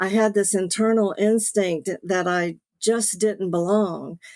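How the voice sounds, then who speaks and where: A woman speaks very slowly in a Southern US accent. Her intonation stays fairly even. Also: dry, close sound with no echo. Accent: Southern US, noticeable. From US South, Beaufort, South Carolina. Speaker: author, late-discovery adoptee. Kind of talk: personal testimony.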